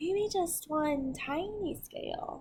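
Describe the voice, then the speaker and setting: A woman's put-on character voice, pitched extremely high. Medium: read story.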